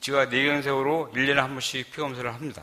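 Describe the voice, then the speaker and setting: A man is speaking. The tone of his voice is bright and sharp. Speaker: church elder giving testimony. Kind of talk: testimony. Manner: halting.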